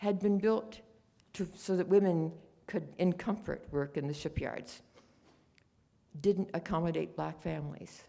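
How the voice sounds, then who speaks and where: With an American accent, a woman speaks at a fairly slow pace in a fairly low pitch, her dark, mellow tone marked by vocal fry, ordinary pitch variation and long, frequent pauses. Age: 90s. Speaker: war home front witness. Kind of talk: conference talk.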